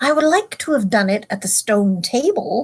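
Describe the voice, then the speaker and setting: A woman doing a put-on character voice, pitched fairly high and spoken at a moderate pace. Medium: read story. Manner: commanding, scornful.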